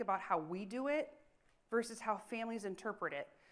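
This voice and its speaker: A woman with a fairly high pitch and ordinary pitch variation speaks at a fairly quick pace. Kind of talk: conference presentation. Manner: fast.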